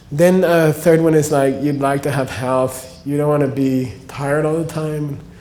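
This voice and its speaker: Amid noticeable background noise and audible room echo, a man with an American accent speaks fairly slowly, his fairly high voice held to fairly even intonation. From United States. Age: 60s. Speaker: spiritual teacher. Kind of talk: lecture. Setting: stage with audience. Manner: casual.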